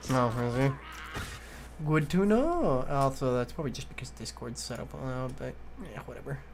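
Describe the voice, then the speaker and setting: A man with an American accent at a moderate pace, with big swings in loudness, long, frequent pauses, and audible room echo. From US Midwest. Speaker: video game streamer. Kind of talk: casual gaming chat.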